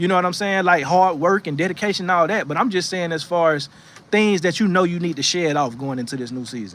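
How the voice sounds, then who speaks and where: Very fast and animated, a man with an American accent speaks in a high voice with ordinary pitch variation. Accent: Southern US accent, noticeable to viewers. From North Florida. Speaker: livestream host giving encouragement. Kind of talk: motivational livestream talk with chat reading. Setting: outdoors on porch in rocking chair. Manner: casual, animated.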